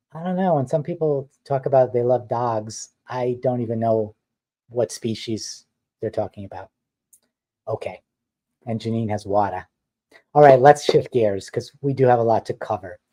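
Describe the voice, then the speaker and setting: A man with a slight New York accent talks at medium pitch and a moderate pace, his tone dark and mellow with ordinary pitch variation. He leaves long, frequent pauses, and the sound is dry and close with no echo. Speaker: mixed-media artist and designer. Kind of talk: live stream chat. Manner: casual, chatty.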